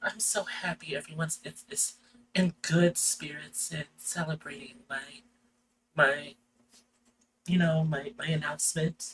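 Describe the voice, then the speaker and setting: Using a put-on character voice, the speaker sounds raspy with a gentle tone, moving at a fairly slow pace with long, frequent pauses. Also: man, fairly high pitch for a man. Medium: actual play. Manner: gentle, gracious.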